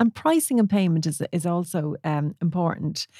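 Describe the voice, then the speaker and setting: A woman with an Irish accent speaks fairly slowly in a fairly low, dark and mellow voice, recorded very cleanly with a silent background and a dry, close sound with no echo. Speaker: wedding photographer and podcast host. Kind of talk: casual solo podcast talk. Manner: conversational with many fillers.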